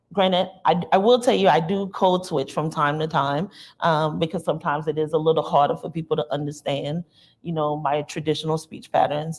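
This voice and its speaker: Speaking at a fairly quick pace, a woman with an American accent has a very deep, low pitch and ordinary pitch variation. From US South, rural South Carolina near North Charleston. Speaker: university diversity administrator, panelist. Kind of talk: panel discussion. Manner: frequent fillers, conversational.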